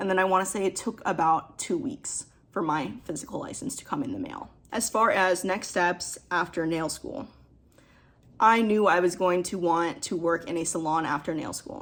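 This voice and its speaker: This woman has an ordinary speaking voice and medium pitch. Her intonation is lively and her pace moderate. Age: 20s. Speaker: nail technician. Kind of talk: casual vlog advice talk.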